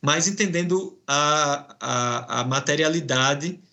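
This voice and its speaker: Here a man speaks with a fairly high pitch. It varies in an ordinary way. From Brazilian Northeast. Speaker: professor and researcher. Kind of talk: academic interview. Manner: hesitant, many fillers.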